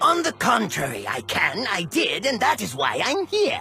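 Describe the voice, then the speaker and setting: A man talks in a cartoonish character voice at a moderate pace. Clear music plays behind him. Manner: haughty, condescending, lecturing.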